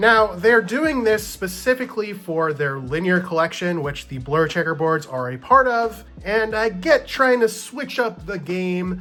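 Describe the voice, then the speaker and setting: Over noticeable background noise, a man speaks in a raised, projected voice with an animated tone, high pitch and lively intonation, at a fairly slow pace with hardly any pauses. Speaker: playing card reviewer. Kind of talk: product review and unboxing. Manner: loud.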